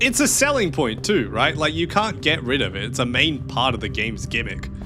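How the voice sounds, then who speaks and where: An animated man with an Australian accent at a fairly quick pace, with audible room echo and noticeable background noise. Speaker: streamer playing video games. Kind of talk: casual live gameplay commentary. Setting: livestream.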